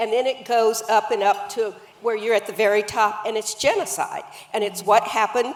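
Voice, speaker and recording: A woman speaks with a fairly high pitch. Noticeable background noise runs under her voice. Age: 70s. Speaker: author and anti-racism activist. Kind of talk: panel conversation.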